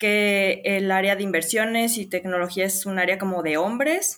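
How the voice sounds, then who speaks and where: A woman with an ordinary speaking voice talks in a medium pitch. Her intonation is fairly even. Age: 20s. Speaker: crypto community contributor. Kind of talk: interview.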